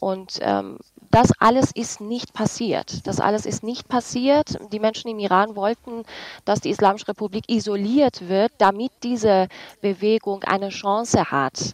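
A woman with a normal speaking voice talks at a fairly high pitch with ordinary variation. She goes at a fairly slow pace, and the sound is dry and close with no echo. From Iranian-German. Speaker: journalist. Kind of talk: radio panel discussion.

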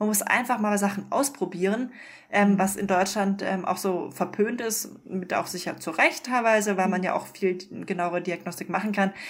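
The woman has a plain, everyday voice at medium pitch. She speaks at a moderate pace with fairly even intonation. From Munich, Bavaria. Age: 30s. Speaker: doctor. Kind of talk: interview.

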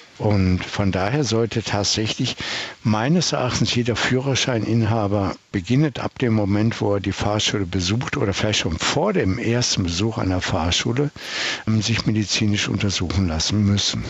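With noticeable background noise behind him, a man speaks at a fairly low pitch and a moderate pace, keeping very even loudness and ordinary pitch variation. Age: 70s. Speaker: traffic psychologist. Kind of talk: interview.

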